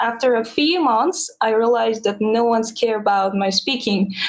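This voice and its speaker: Speaking at a fairly slow pace, a woman with a non-native accent has a high pitch. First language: not English. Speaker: English learner. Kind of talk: casual chat. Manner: halting.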